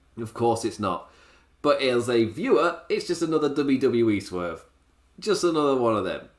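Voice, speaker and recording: Vocal fry and very wide pitch swings at a moderate pace. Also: man, fairly high pitch for a man. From Ireland. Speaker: wrestling show reviewer. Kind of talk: solo podcast review. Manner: animated.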